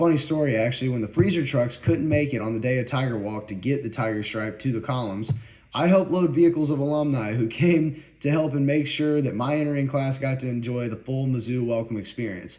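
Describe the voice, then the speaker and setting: A man with a slight Southern US accent speaks at a fairly quick pace in a medium pitch. His tone is dark and mellow, with ordinary pitch variation. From US South, North Carolina Piedmont. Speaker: university student. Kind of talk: prepared personal speech.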